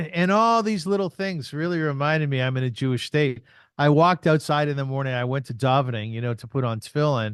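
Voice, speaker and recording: A man speaks in an ordinary speaking voice at a medium pitch, moving at a fairly quick pace. The background is quiet. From Canada, Kitchener Ontario. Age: 60s. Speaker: podcaster and artist. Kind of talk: interview conversation.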